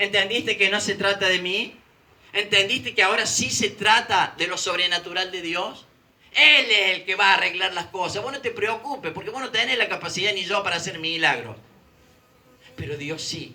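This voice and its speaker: A man's raised, projected voice, high in pitch with ordinary pitch variation, at a moderate pace over noticeable background noise. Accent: Rioplatense. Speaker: preacher. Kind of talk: sermon.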